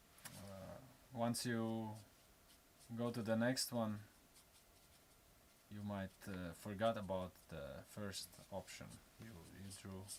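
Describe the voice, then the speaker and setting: A man with a non-native accent speaks at a very slow pace, his pitch fairly low and his intonation fairly even. Long pauses come often, and his loudness swings widely. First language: not English. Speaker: tattoo artist. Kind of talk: live drawing demonstration. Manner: halting, many fillers.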